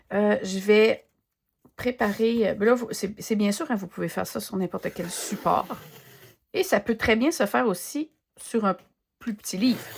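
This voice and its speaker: A woman with a Quebec accent speaks in a relaxed, somewhat breathy voice at a fairly high pitch with ordinary pitch variation. Her pace is fairly slow with long, frequent pauses, on a very clean recording with a silent background. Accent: Québécois French. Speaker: art journaling content creator. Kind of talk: casual craft demo chat. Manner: relaxed, hesitant with many fillers.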